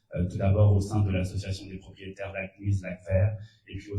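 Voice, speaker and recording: A man speaks in a somewhat breathy voice at a fairly low pitch. His tone is dark and mellow, with monotone, flat intonation. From France. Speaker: municipal council candidate. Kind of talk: candidate presentation at public electoral meeting. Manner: hesitant, many filler sounds.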